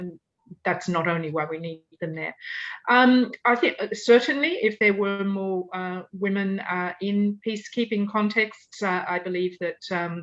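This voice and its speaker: A woman with an Australian accent talks at a fairly slow pace in a medium pitch, with ordinary pitch variation. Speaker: UN victims' rights advocate. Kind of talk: Q&A answer in online panel talk. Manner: hesitant, many fillers.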